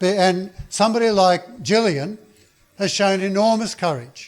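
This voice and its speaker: Speaking with an Australian accent, a man keeps a moderate pace. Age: 70s. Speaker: political activist. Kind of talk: speech. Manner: halting.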